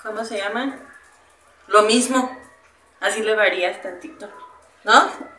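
A woman at a very slow pace with long, frequent pauses and fairly even intonation, amid audible room echo and light background noise. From Mexico, Irapuato (Guanajuato). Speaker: streamer. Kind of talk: casual chat. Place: kitchen.

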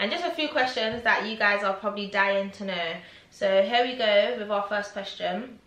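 Speaking at a moderate pace and medium pitch, a woman shows ordinary pitch variation while audible room echo surrounds her. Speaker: YouTuber interviewer. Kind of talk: casual interview. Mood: friendly, upbeat. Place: home room. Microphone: camera far.

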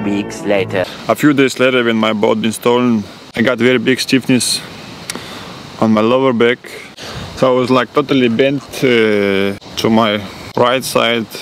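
Music plays in the background as a man talks with fairly even intonation. The sound is dry, with no echo. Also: moderate pace. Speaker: athlete vlogger. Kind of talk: casual vlog chat. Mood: weary, resigned storytelling. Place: garden. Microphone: phone near.

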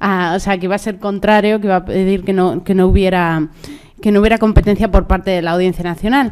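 The background stays quiet. Her intonation is fairly even as the woman talks. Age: 30s. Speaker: panel moderator. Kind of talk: panel moderation. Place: hall. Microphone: podium.

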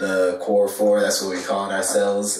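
Amid audible room echo, a man speaks in a monotone, flat intonation at a fairly low pitch. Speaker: podcast guest. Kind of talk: interview answer. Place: studio.

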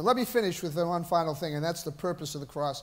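Speaking in a Boston accent, a man uses a high-pitched voice. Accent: Boston American. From US, Boston area. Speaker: pastor; preacher. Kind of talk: sermon. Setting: church. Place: church.

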